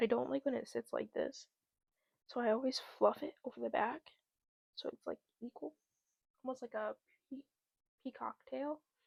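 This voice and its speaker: Speaking at a moderate pace, a woman leaves long, frequent pauses and swings widely in loudness, in a dry, close sound with no echo. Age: 20s. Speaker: podcast host. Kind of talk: personal vlog monologue. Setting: talking to camera. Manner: halting.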